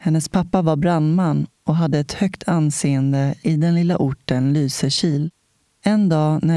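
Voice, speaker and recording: Dark and mellow in tone, the voice moves at a fairly slow pace with fairly even intonation, captured in a dry, close sound with no echo. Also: woman. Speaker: podcast host. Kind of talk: interview and scripted intro.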